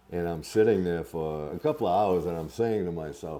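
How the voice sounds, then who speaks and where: In an American accent, a man speaks with a very deep, low pitch. His intonation is fairly even and his pace fairly quick. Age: 70s. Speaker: thru-hiker. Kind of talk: casual interview.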